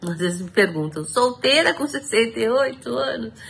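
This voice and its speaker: Her voice sits at a fairly low pitch for a woman. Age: 60s. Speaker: testimonial contributor. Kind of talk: recorded testimony.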